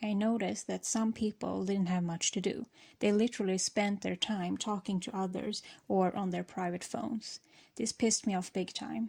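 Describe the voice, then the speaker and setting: A woman speaks with a non-native accent at a moderate pace. Her medium-pitched voice is somewhat breathy, with a dark, mellow tone. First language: not English. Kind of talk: storytime talk while gaming.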